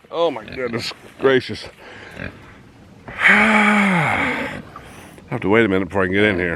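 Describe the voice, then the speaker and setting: A man talks at a moderate pace and medium pitch, his pitch swinging very widely between long, frequent pauses. Noticeable background noise sits behind him. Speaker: hobby farmer vlogger. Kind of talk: casual outdoor vlog narration. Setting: outdoors on farm.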